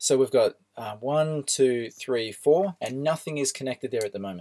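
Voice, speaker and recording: Heard in a dry, close sound with no echo, a man with an Australian accent speaks at a fairly quick pace in a fairly high pitch. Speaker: electronics teacher. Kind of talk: tutorial. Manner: casual, with filler words.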